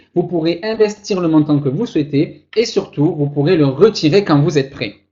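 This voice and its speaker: A man with a Toulouse accent speaks at a high pitch for a man. His pace is moderate, and his pitch varies in an ordinary way. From southern France, Toulouse. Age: 20s. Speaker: online marketer. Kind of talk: webinar sales pitch. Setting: webinar. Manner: animated.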